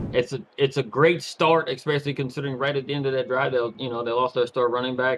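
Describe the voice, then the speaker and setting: A man with an American accent at a medium pitch, very fast pace, hardly any pauses and fairly even intonation. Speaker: color commentator. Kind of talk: live commentary. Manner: halting, repeats words.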